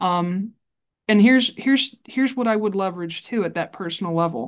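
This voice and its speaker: Against a quiet background, a woman talks at a medium pitch in a Midwestern American accent. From Iowa, US Midwest. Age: 30s. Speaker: librarian and library advocate. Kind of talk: casual chat. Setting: video call. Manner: animated.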